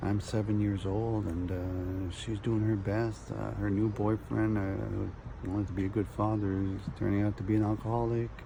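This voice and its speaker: A man speaks with fairly even intonation and hardly any pauses, and the room echo is audible. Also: moderate pace. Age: 60s. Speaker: video blogger. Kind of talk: personal storytelling. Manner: halting.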